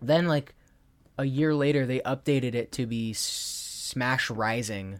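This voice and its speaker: A man speaks at a medium pitch with fairly even intonation in a normal speaking voice. The recording is very clean, with a silent background. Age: 20s. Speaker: podcast co-host. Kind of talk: casual chat.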